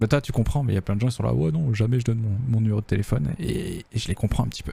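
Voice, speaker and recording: Soft-spoken and somewhat breathy, a man talks at a very fast pace with lively intonation, a medium pitch and a dark, mellow tone. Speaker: game developer streamer. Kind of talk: casual livestream chat.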